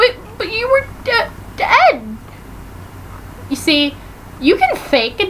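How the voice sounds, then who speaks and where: Against noticeable background noise, a woman speaks at a very slow pace, her pitch swinging very widely. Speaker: vlogger. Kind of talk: casual TV recap vlog. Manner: animated.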